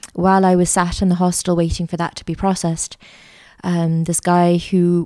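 A woman speaks at a fairly quick pace in a fairly low, dark, mellow voice with monotone, flat intonation. The recording is very clean, with a silent background and a dry, close sound with no echo. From Canada. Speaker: art teacher and school founder. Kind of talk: interview. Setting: studio.

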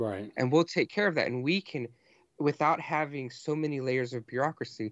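A man talks fairly quickly in an ordinary speaking voice, his medium pitch rising and falling in an ordinary way. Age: 30s. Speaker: podcaster with divinity degree. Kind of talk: casual chat.

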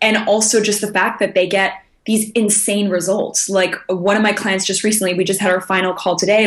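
A woman speaks at a fairly quick pace and a medium pitch. Noticeable background noise is present. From international upbringing (Japan, Germany, South Africa, Austria). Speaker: results coach. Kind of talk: interview.

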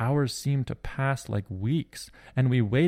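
Ordinary pitch variation in plain reading aloud

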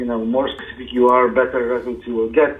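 There is noticeable background noise behind this voice with a Polish accent. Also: man. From Poland. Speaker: SEO consultant. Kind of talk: interview.

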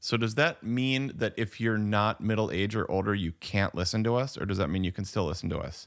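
A man with an ordinary speaking voice talks at a fairly low pitch and a fairly quick pace, with ordinary pitch variation and hardly any pauses. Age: 40s. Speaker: podcast co-host. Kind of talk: casual chat. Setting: remote recording.

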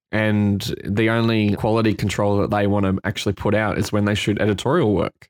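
Speaking with an Australian accent, the voice keeps a fairly quick pace, hardly any pauses and very even loudness. Its intonation is monotone and flat, captured in a very clean recording with a silent background. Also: man, fairly low pitch for a man. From Queensland, Australia. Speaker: photographer and retoucher. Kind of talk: casual chat.

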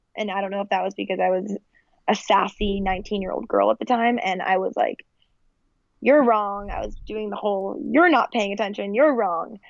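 Talking at a moderate pace, a woman with medium pitch and ordinary pitch variation has an unremarkable speaking voice. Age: 20s. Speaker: chronic illness patient and website founder. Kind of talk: interview.

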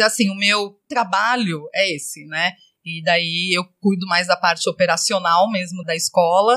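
Her tone is bright and sharp as a woman talks at a fairly slow pace. The sound is dry and close with no echo. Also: medium pitch for a woman, ordinary pitch variation. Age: 40s. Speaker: school manager and mother. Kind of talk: casual chat.

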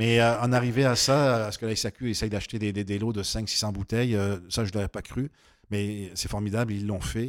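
A fairly low-pitched man at a moderate pace with fairly even intonation, in a very clean recording with a silent background. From southern France, near Nîmes. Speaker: winery co-owner. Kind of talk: interview. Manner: halting.

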